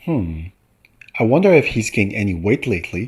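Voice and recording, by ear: Speaking at a moderate pace, a man uses a fairly low pitch with a slightly husky edge and big pitch swings.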